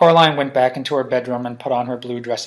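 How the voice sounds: This natural reading voice shows pitch that shifts in an ordinary way.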